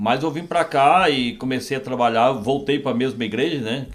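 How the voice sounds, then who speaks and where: A man at a moderate pace and medium pitch, with a normal speaking voice. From Brazil, southern Minas Gerais (rural). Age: 60s. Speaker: pastor. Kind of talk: interview, testimony.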